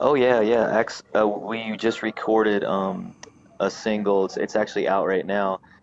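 A man with an American accent and fairly low pitch, at a fairly slow pace with fairly even intonation, over noticeable background noise. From North Carolina, Raleigh outskirts. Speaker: bluegrass musician. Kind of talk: casual interview chat. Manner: halting, many fillers and repeats.

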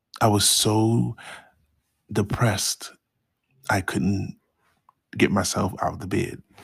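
A man talks very slowly with long, frequent pauses. His fairly low voice carries vocal fry and ordinary pitch variation. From Baltimore, Maryland, US. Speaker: podcast host sharing mental health experience. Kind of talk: personal storytelling monologue.

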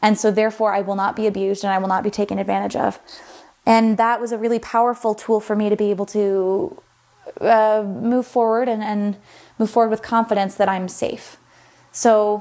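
A woman with a plain, everyday voice talks at a fairly quick pace, her pitch fairly high. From Sacramento, California. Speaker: voicemail caller, listener. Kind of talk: recorded voicemail, personal testimony.

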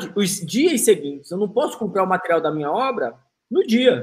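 A man is speaking. His intonation is lively. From Manaus, northern Brazil. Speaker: podcast host. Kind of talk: casual chat.

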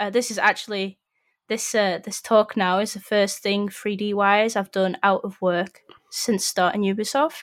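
In a Yorkshire accent, a woman speaks at a moderate pace and medium pitch with fairly even intonation, on a very clean recording with a silent background. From northern England, Sheffield. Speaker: 3D environment artist. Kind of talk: casual chat.

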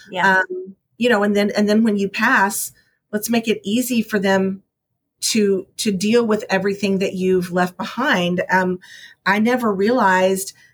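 Her pitch sits in the medium range, and this woman speaks with a Texan accent. Her delivery is fairly slow with monotone, flat intonation. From Texas. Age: 50s. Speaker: realtor. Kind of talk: interview.

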